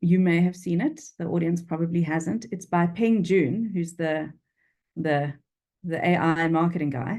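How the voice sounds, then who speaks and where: Speaking with a Durban accent, a woman talks at a fairly slow pace in a dark, mellow tone. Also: fairly low pitch for a woman. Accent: South African, flat Durban vowels. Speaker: freelance copywriter. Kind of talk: interview. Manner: animated.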